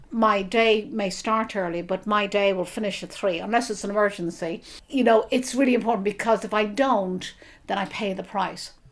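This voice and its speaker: In a very clean recording with a silent background, a woman with an Irish accent speaks at a moderate pace and medium pitch, her intonation fairly even. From Ireland, Dublin. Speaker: author. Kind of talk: interview.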